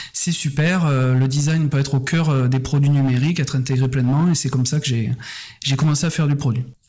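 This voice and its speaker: A man speaks very fast in a fairly high voice with a Toulouse accent and ordinary pitch variation. Noticeable background noise and audible room echo surround him. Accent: Toulouse (southern French). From southern France, Toulouse region. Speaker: head of design, design consultant. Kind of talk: podcast interview.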